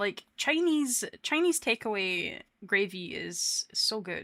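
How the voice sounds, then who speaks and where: A bright, sharp tone and a Scottish accent on a very clean recording with a silent background. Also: woman. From Scotland. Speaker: VTuber streamer. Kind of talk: casual chat. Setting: live stream.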